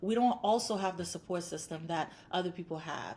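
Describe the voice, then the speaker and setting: A woman speaks at a fairly quick pace with a somewhat breathy voice. Her intonation stays fairly even. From Haiti. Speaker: clinical psychologist. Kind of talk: interview.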